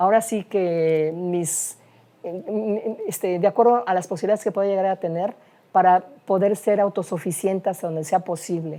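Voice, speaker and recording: At a moderate pace, the speaker's dark, mellow tone keeps a fairly even intonation. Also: woman. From Veracruz, Mexico. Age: 60s. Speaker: architect and university lecturer. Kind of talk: life-story interview. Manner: halting, frequent fillers.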